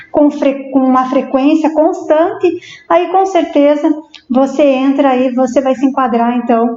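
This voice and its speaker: Her high-pitched voice has a dark, mellow tone and ordinary pitch variation. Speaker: psychologist. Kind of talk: interview on live stream. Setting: live stream. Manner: halting.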